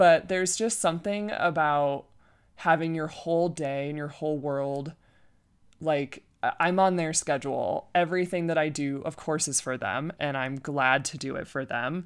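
A woman with a Michigan accent speaks at a moderate pace, her pitch very deep and low. Her pitch variation is ordinary, on a very clean recording with a silent background. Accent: Midwestern US (Michigan). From Michigan, Flint area. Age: 30s. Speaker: podcast host, wedding planner. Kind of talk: casual personal monologue. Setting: at home, casual.

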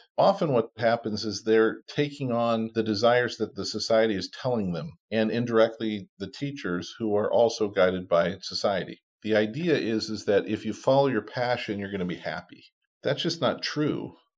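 A man with an ordinary speaking voice talks at a moderate pace with hardly any pauses, in a medium pitch and ordinary pitch variation. The recording is very clean, with a silent background. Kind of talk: interview.

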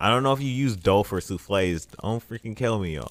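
A man talks in an ordinary speaking voice. His intonation is lively and his pace fairly quick. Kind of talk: casual chat. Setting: recording in his apartment living room. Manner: laid-back, joking.

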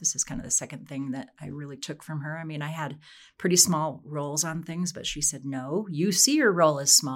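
A woman speaks in a very deep, low voice. The recording is very clean, with a silent background. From Wyoming, US. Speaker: professor, aging and exercise researcher. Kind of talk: interview.

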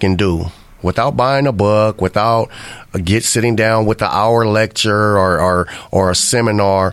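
At a moderate pace, a man speaks in an ordinary speaking voice, fairly low in pitch, with fairly even intonation. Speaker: radio host. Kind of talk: casual chat. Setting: studio.

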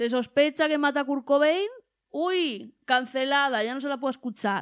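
A woman talks in a high voice with an animated tone. Her pace is fairly slow, and her pitch varies in an ordinary way. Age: 20s. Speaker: podcast host. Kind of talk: casual chat.

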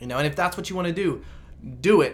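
In audible room echo, a man speaks with a bright, sharp tone, very wide pitch swings and vocal fry. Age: 20s. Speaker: biotech salesperson. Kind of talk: casual chat.

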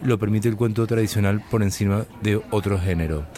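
At a moderate pace, a man with a normal speaking voice and a fairly low pitch keeps his intonation fairly even. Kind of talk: interview. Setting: summer school in Huesca.

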